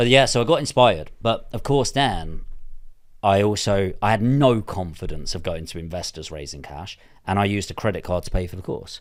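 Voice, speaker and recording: Speaking at a fairly quick pace with a southern English accent, the voice swings greatly in loudness. The recording is very clean, with a silent background. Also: man, fairly low pitch for a man. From southern England. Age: 30s. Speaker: property investor. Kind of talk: interview. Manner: casual, sweary.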